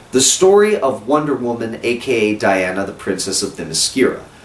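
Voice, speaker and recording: Very wide pitch swings from a male speaker amid noticeable background noise. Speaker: film reviewer. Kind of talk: video review. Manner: animated.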